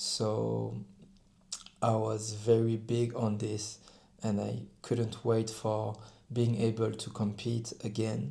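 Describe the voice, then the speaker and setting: A man with a French accent speaks at a very slow pace in a fairly low, somewhat breathy voice, his monotone, flat intonation broken by long, frequent pauses. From France. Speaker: rugby player. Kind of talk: personal vlog talk to camera. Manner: halting, with self-corrections.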